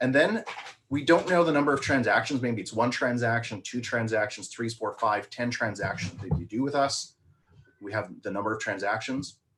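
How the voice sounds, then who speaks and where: The man's pitch sits in the medium range and varies in an ordinary way. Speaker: marketing coach. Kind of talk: webinar presentation. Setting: live video stream. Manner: fast.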